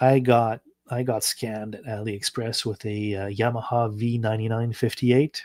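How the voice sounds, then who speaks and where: On a very clean recording with a silent background, a man with a French Canadian accent talks at a fairly slow pace, medium in pitch, with fairly even intonation. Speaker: electronics hobbyist YouTuber. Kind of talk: casual live stream chat while coding. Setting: live stream. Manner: halting, many fillers.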